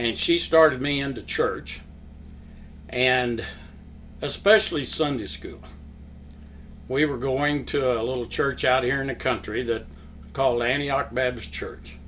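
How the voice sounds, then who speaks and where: Audible room echo surrounds a man speaking at a medium pitch and a fairly slow pace with fairly even intonation. He leaves long, frequent pauses. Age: 70s. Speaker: church member, Sunday school teacher. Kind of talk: testimony. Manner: halting.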